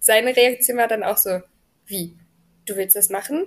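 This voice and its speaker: A very clean recording with a silent background, moderate pace and lively intonation. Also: woman. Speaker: American football coach and paramedic. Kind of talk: casual interview. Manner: calm, friendly.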